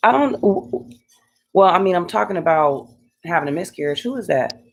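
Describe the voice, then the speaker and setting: A woman's voice swings very widely in pitch, with vocal fry. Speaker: beauty and scalp care vlogger. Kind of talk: livestream personal story. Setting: live stream at home. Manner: halting, stumbling over words.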